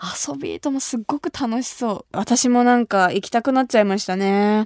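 Here a woman speaks at a fairly high pitch. Her intonation is lively. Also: dry, close sound with no echo. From Kumamoto, Japan. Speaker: radio host. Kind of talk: casual radio talk show. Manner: animated, cheerful.

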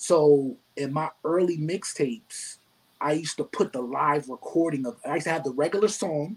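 Here is a man with an ordinary speaking voice. His pitch is fairly high, with ordinary pitch variation. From New York City (Bronx). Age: young. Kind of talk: casual interview.

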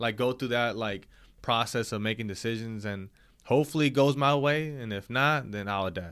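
Ordinary pitch variation, a moderate pace and a medium pitch from a man with a normal speaking voice. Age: 20s. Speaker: podcast co-host. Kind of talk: casual chat.

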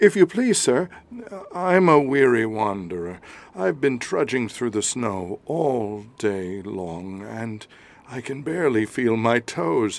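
A put-on character voice with vocal fry moves at a slow pace through big pitch swings. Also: man, medium pitch for a man.

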